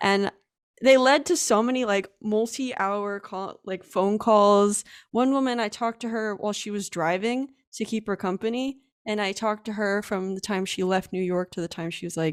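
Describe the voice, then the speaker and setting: On a very clean recording with a silent background, a woman with an American accent speaks at a medium pitch and moderate pace with ordinary pitch variation. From US, Allentown, Pennsylvania. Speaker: UX designer and web developer. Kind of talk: casual interview. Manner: hesitant with many fillers.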